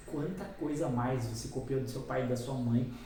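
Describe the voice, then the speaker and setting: The man's delivery is animated and moves at a moderate pace. Audible room echo and noticeable background noise are present. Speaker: hypnotherapist. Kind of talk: lecture.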